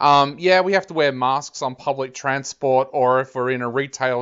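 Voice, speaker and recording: A man with an Australian accent, fairly high in pitch, at a moderate pace. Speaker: music interviewer. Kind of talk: interview. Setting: video or phone call across countries.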